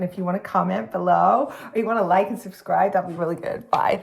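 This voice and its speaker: A female-sounding, raspy put-on character voice with an American accent rattles along at a very fast pace and medium pitch. Light background noise is present. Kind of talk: casual YouTube sign-off. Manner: tentative, testing the accent.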